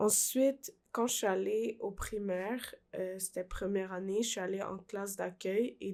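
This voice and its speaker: With a Quebec accent, a woman speaks at a medium pitch in a monotone, flat intonation, in a very clean recording with a silent background. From Peru, raised in Quebec from age 5. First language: Spanish (speaking French). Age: 20s. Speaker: young immigrant guest. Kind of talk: personal testimony. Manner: slow speaker.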